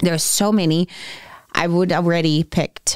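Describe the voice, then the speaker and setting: A woman with a Brazilian Portuguese accent speaks at a fairly low pitch. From Brazil, Rio de Janeiro. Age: 40s. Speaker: fitness athlete and medical esthetician. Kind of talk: casual interview chat.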